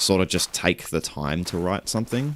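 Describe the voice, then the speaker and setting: A man speaks in a very deep, low voice at a moderate pace. His intonation is lively. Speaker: streamer and musician. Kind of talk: casual livestream chat. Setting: livestream while gaming.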